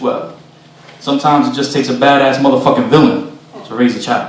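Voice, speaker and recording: There is noticeable background noise in the clip. A man's words come at a fairly quick pace. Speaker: spoken word poet. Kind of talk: live spoken word poetry performance. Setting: live venue, performing for an audience.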